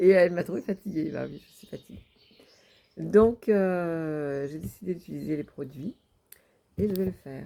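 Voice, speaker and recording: A dark, mellow tone at a fairly slow pace, on a very clean recording with a silent background. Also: woman. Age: 60s. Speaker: vlogger. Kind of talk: personal video diary. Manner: halting, many hesitations.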